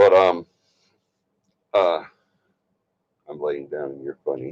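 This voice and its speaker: A man with an Alabama accent is heard in a dry, close recording with no echo. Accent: US Southern (Alabama). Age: 60s. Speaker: paranormal investigation team leader and livestream host. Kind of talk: casual livestream chat. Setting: livestream from a bedroom.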